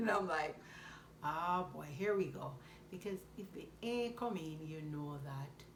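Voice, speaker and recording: In a Jamaican accent, a woman speaks fairly slowly at a fairly low pitch, her intonation lively and her loudness swinging widely, with audible room echo. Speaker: vlogger. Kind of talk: casual chat.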